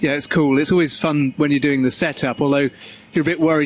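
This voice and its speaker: In an English accent, a man with a fairly high pitch speaks with a monotone, flat intonation in a dry, close sound with no echo. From England. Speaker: car company spokesperson. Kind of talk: casual interview. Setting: auto show floor during setup.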